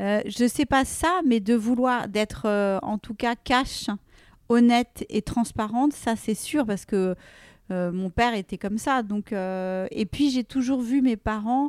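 Very slowly and at a fairly high pitch, a woman speaks with ordinary pitch variation on a very clean recording with a silent background and a dry, close sound with no echo. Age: 40s. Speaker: fashion entrepreneur. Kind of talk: casual interview.

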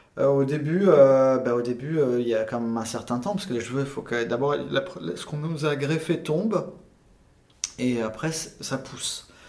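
Fairly slow and fairly high in pitch, a man speaks with ordinary pitch variation amid noticeable background noise and audible room echo. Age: 40s. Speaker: cosmetic surgery patient. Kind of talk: testimony. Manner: halting.

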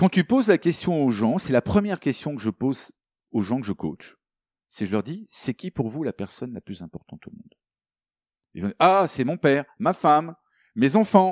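Very wide pitch swings and long, frequent pauses mark this moderate-paced speech, recorded very cleanly against a silent background with a dry, close sound and no echo. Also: man, fairly high pitch for a man. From Africa, then France from boarding school. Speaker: coach and author. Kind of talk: interview.

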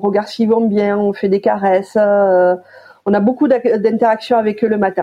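Monotone, flat intonation in a woman's voice of medium pitch. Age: 40s. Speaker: horse stable manager. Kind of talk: interview.

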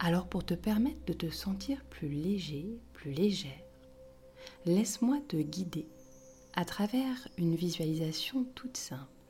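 Soothing, calm female voice, fairly low in pitch with very wide pitch swings, fairly slow with long, frequent pauses, over background music. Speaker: yoga teacher. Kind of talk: guided meditation. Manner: slow, soft-spoken, soothing; calm, gentle, with long pauses.

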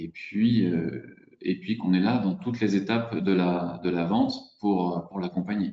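Speaking very slowly, a man uses a fairly low pitch. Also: fairly even intonation. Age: 40s. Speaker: real estate agent. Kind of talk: interview. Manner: hesitant, many fillers.

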